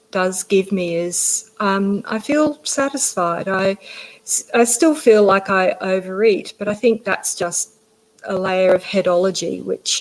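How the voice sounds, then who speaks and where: Speaking with an Australian accent, a woman keeps a fairly slow pace. Her pitch is medium. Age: 50s. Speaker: general practitioner. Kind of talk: interview.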